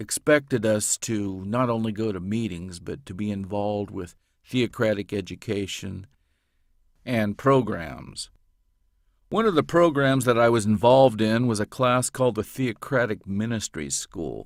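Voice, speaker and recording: A man uses a normal speaking voice at a moderate pace, with ordinary pitch variation and big swings in loudness. The recording is very clean against a silent background. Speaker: audiobook narrator. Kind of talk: interview answer.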